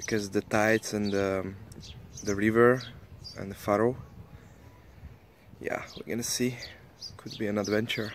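Recorded with a dry sound and no echo, a man speaks at a moderate pace and fairly low pitch in a monotone, flat way, taking long, frequent pauses over light background noise. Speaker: sailing vlogger. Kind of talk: casual vlog chat. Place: boat. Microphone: phone near.

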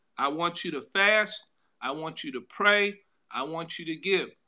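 A man's bright, sharp voice at a fairly slow pace, with ordinary pitch variation and a quiet background. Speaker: pastor. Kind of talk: sermon. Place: home room. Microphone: phone near.

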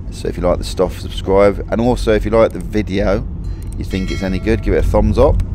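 Music plays behind a man speaking in a dry sound with no echo. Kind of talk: casual vlog chat. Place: car. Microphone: phone near.

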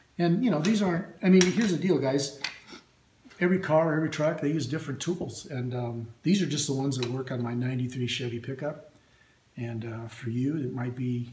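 Over light background noise and audible room echo, a man speaks fairly quickly with ordinary pitch variation. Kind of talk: casual show-and-tell tutorial. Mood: relaxed, friendly. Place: workshop. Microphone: phone near.

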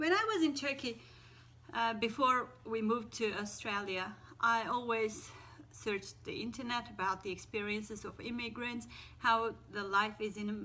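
At a moderate pace, a woman speaks with a fairly high pitch and a bright, sharp tone. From Turkey. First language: Turkish. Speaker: teacher. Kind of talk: casual talk to camera. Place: home room. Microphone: phone near.

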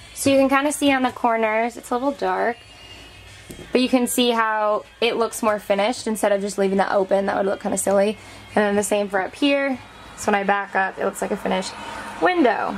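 A woman speaks at a fairly quick pace with ordinary pitch variation over light background noise. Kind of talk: tutorial. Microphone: camera far.

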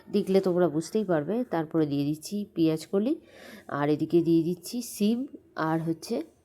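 This woman has a fairly low pitch and a dark, mellow tone. Her pitch variation is ordinary. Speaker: cooking vlogger. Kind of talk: cooking tutorial voiceover. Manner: halting.

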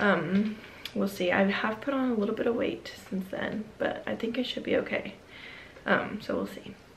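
Speaking at a moderate pace and a medium pitch, a woman shows ordinary pitch variation and vocal fry, with audible room echo around her.

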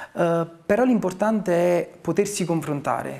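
A man's high-pitched voice at a fairly slow pace. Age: 40s. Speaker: town mayor. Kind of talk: interview; interview answer. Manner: hesitant, with frequent fillers. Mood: calm, reflective. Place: office.

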